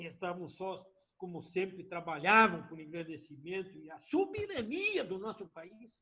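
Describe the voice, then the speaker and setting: A man speaks in a raised, projected voice at a high pitch with ordinary pitch variation and a moderate pace. His tone is animated, bright and sharp, with big swings in loudness. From southern Brazil, Rio Grande do Sul (Missões region). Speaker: former politician. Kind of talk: interview testimony.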